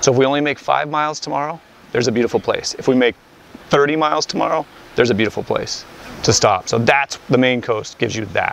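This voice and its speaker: A man at a very fast pace, in a dry sound with no echo and light background noise. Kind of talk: interview answer. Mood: friendly, enthusiastic. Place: boat. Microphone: lapel.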